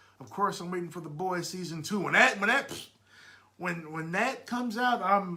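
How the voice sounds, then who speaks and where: A man with a high pitch and lively intonation speaks at a moderate pace amid noticeable background noise and audible room echo. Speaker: podcast host. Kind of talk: casual chat. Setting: live stream at home. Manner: loud; halting, repeats words.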